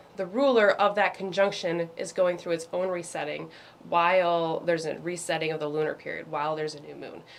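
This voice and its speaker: A woman's plain, everyday voice, fairly low in pitch, with ordinary pitch variation, big swings in loudness and a moderate pace. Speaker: astrology meditation leader. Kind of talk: casual astrology talk in live meditation session.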